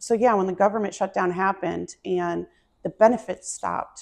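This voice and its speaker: A woman with an American accent talks at a moderate pace with ordinary pitch variation in an unremarkable speaking voice. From upstate New York. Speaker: community food charity organizer. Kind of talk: interview. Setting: on location in Stanley, Virginia.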